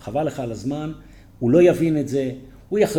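Lively intonation from a man with a dark, mellow tone, somewhat breathy, with audible room echo. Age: 60s. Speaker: dentist and company founder. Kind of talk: interview.

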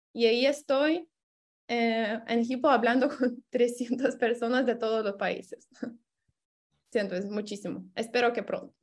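A woman with a Lithuanian accent speaks at a high pitch and a fairly slow pace, with fairly even intonation and long, frequent pauses. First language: Lithuanian (speaking Spanish). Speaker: exchange program participant. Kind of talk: interview.

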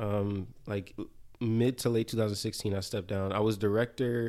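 Here a man with an American accent talks at medium pitch and a moderate pace in a normal speaking voice. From New Jersey. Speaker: dancer and choreographer. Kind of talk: casual chat.

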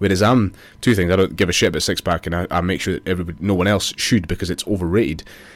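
In a very clean recording with a silent background, a man speaks very fast with a Scottish Borders accent. His voice is very deep and low, with fairly even intonation. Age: 30s. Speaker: personal trainer and business owner. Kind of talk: casual chat.

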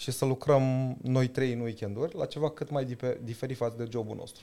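The man's tone is dark and mellow, at a medium pitch. He speaks at a fairly slow pace. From Romania, Târgoviște. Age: 30s. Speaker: startup CEO. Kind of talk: interview. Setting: office.

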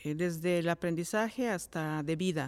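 In a very clean recording with a silent background, a woman with an unremarkable speaking voice talks at a medium pitch with ordinary pitch variation. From Mexico, Cuautla, Morelos. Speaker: education professor. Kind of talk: interview. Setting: studio.

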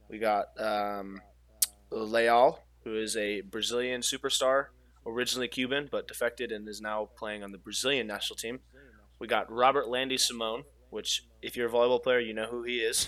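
A man with an American accent speaks in a plain, everyday voice at medium pitch, at a moderate pace with fairly even intonation, in a very clean recording with a silent background. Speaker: professional volleyball player and podcast co-host. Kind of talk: casual chat.

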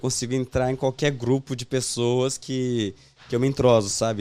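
Dark and mellow in tone, this man's voice sits at a medium pitch. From Portugal and Spain, born in Brazil. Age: 20s. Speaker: funk event promoter. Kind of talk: casual interview chat.

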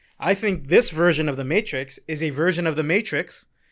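Heard on a very clean recording with a silent background, a plain, everyday voice with an American accent moves at a moderate pace. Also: man. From New York, Queens. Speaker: podcast host. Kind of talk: casual chat.

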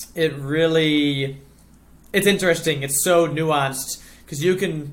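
A man with an American accent talks at a fairly slow pace with fairly even intonation. Room echo is audible. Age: 20s. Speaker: professional cyclist. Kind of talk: casual chat.

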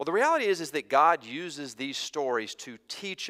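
In an American accent, a man is talking. The tone of his voice is bright and sharp. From US border region near the South. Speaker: preacher. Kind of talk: sermon. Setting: church.

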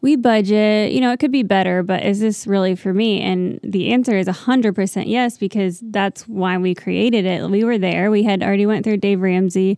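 In an ordinary speaking voice, a woman talks at a fairly quick pace with hardly any pauses, medium pitch, fairly even intonation and very even loudness. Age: 30s. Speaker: business owner with an MBA. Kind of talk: casual chat.

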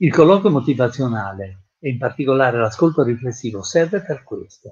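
A somewhat breathy man's voice, fairly high in pitch, at a fairly slow pace. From Italy, Genoa. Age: 80s+. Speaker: retired psychiatrist and trainer. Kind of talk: interview. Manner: halting, with frequent repetitions.

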